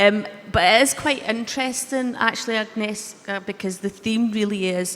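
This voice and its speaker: A woman with a Scottish accent speaks fairly slowly at a medium pitch and with fairly even intonation, over noticeable background noise. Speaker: panel chair. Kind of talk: panel discussion.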